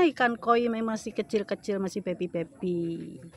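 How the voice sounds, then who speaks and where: The sound is dry with no echo. A woman talks at a fairly slow pace. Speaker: vlogger. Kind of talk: casual vlog chat. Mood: cheerful and enthusiastic. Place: waterside. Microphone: phone near.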